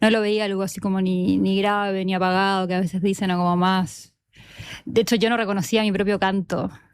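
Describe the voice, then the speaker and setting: The voice moves at a fairly quick pace in monotone, flat intonation on a very clean recording with a silent background. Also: woman, medium pitch for a woman. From Chile. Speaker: author. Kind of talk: panel talk. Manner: fast.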